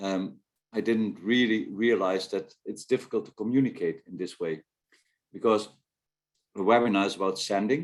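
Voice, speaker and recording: A man with a Dutch accent talks at a moderate pace in a fairly low pitch, with ordinary pitch variation. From Netherlands. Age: 60s. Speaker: national rowing team coach. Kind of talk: webinar talk. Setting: video call.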